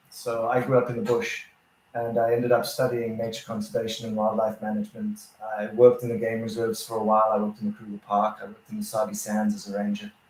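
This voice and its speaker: Very fast and flat in intonation, a man talks at a medium pitch while his loudness swings widely over noticeable background noise. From South Africa. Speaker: photographer and co-host. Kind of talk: casual chat.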